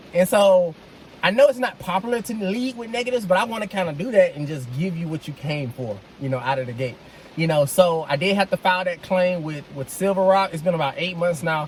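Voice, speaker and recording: A man talks loudly and fairly quickly in a high voice for a man, with lively intonation over noticeable background noise. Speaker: vlogger, dad reviewing his car purchase. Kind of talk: casual vlog review. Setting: in a car. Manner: projecting voice loudly.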